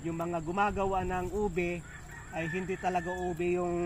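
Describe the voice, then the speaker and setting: Here a man speaks at a high pitch. His pace is moderate. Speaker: pastor and natural wellness vlogger. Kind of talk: casual outdoor tutorial vlog. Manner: halting with many fillers.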